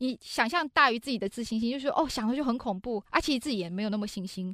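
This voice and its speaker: A woman with a fairly high, bright and sharp voice speaks at a very fast pace with lively intonation and an animated, energetic tone. The sound is dry and close with no echo. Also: very clean recording, silent background. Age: 40s. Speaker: business executive and author. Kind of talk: interview. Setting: studio.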